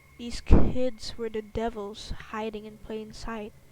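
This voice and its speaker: Soft-spoken and very slow, a woman speaks at a fairly high pitch. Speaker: streamer reading horror stories. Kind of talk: casual chat; reading aloud.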